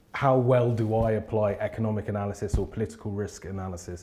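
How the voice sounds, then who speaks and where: Speaking with a London accent, a man has a dark, mellow, somewhat breathy tone, ordinary pitch variation and a moderate pace. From England, South London. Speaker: business consultant. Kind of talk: interview monologue.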